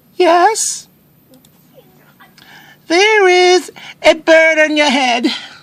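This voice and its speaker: A put-on character voice sits at an extremely high pitch. It goes at a very slow pace with long, frequent pauses. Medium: read story. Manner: calm, cheerful.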